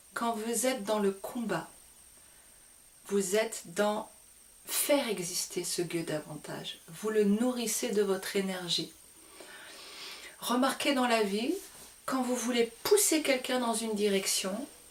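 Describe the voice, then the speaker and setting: A fairly high-pitched woman at a very slow pace, with long, frequent pauses, ordinary pitch variation and noticeable background noise. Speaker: spiritual teacher. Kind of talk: spiritual talk to camera. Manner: hesitant fillers.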